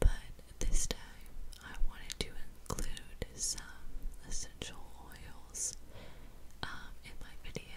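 Whispering, a woman speaks at a very slow pace. Long, frequent pauses break up her words. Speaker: ASMR creator. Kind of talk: ASMR whispering video. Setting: studio, close microphone. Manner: whispered, soft. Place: home room. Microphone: studio mic.

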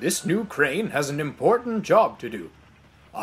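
The intonation rises and falls in a lively way. It is a natural reading voice.

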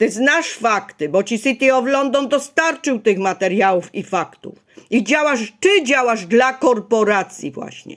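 This woman's intonation rises and falls in a lively way. She keeps to a fairly slow pace. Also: fairly high pitch for a woman. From Poland, Ostrów Wielkopolski (Greater Poland). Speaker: video blogger. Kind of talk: personal vlog monologue. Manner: agitated.

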